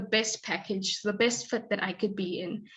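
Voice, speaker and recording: Fairly even intonation marks a woman's somewhat breathy speech. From South Africa. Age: 20s. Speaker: graduate student and scholarship recipient. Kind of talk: presentation.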